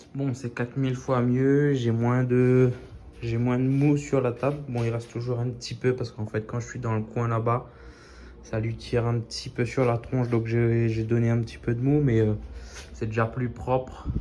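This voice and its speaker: In a dark, mellow tone, a man at medium pitch speaks at a moderate pace with monotone, flat intonation. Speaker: DIY maker. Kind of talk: workshop tutorial. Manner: casual, hesitant with many fillers.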